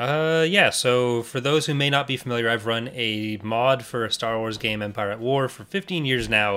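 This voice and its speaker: A man's bright, sharp tone at a moderate pace, with ordinary pitch variation. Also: medium pitch for a man, hardly any pauses. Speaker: podcast host. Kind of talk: casual chat.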